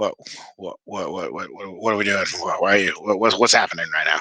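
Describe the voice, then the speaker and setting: Using a put-on character voice, a man speaks raspy and at a fairly quick pace. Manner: bewildered, stammering.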